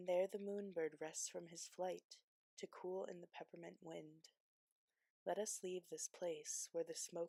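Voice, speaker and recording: A soft-spoken woman's fairly low voice, dark and mellow in tone, monotone and flat in intonation, at a very slow pace, with a dry, close sound with no echo. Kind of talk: ASMR poetry reading.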